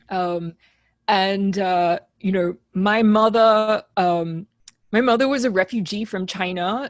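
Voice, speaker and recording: Fairly slow, fairly even speech with an Australian accent. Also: woman. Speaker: composer. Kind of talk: interview.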